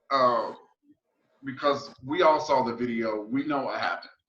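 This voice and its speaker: A man speaks at a fairly slow pace with a fairly high pitch. Room echo is audible. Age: 40s. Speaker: podcast host. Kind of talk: interview conversation.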